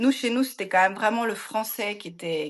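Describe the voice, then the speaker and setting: The intonation is lively against a quiet background. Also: woman. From France. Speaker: expat parent. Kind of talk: podcast interview. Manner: hesitant, many fillers.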